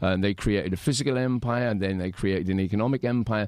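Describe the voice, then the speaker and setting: This man talks at a fairly quick pace in an English accent. His pitch sits fairly low, with ordinary variation. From England. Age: 50s. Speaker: punk musician. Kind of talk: interview. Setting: studio.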